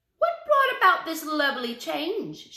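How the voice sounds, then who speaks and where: Putting on a squeaky character voice, a woman speaks at an extremely high pitch with very wide pitch swings and a moderate pace. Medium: read story. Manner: gentle, warm.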